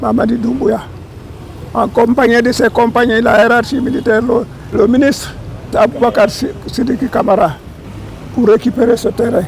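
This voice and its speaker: Noticeable background noise sits behind a man who speaks at a fairly slow pace with an extremely high pitch. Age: 80s+. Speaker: war veteran. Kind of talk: ceremonial speech.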